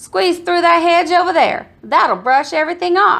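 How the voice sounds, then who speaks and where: A woman in a put-on character voice speaks at a moderate pace with an extremely high pitch. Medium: read story. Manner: snorting, oinking.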